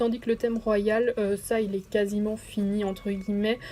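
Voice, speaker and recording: Speaking at a fairly slow pace, a woman keeps her pitch fairly high. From Belgium. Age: 20s. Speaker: gaming YouTuber. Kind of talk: let's play commentary. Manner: hesitant, many fillers.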